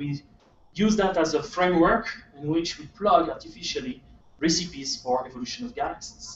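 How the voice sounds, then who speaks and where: With a French accent, a man speaks at a fairly quick pace in a high pitch with lively intonation. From France. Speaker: astronomer. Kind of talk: lecture. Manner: halting.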